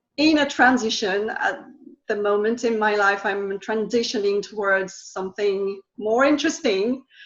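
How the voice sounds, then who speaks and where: A woman speaks with a French accent at a fairly high pitch. Her pitch variation is ordinary, and the background is quiet. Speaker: energy healing practitioner and language teacher. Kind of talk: interview. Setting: live video call. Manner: halting, many fillers.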